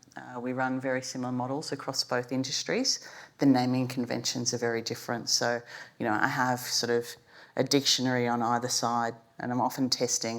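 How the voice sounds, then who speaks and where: A woman speaks at a fairly quick pace with an Australian accent. Her pitch is very deep and low. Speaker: business executive. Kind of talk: panel discussion.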